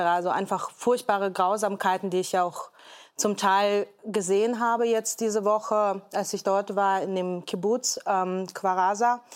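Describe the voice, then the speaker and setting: A woman's medium-pitched, monotone voice at a fairly slow pace, on a very clean recording with a silent background. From Hamburg, Germany. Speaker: entrepreneur and podcaster. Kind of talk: talk show discussion. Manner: hesitant, many fillers.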